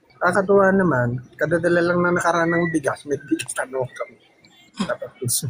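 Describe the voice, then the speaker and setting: A man with a high pitch talks at a fairly quick pace amid noticeable background noise. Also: ordinary pitch variation. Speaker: live stream participant. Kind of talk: casual chat.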